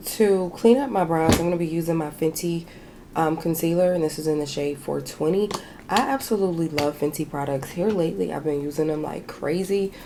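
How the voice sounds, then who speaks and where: Noticeable background noise sits under a woman talking at a fairly quick pace. Her pitch is fairly low, with ordinary pitch variation. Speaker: beauty vlogger. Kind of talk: makeup tutorial with casual chat. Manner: casual, chatty.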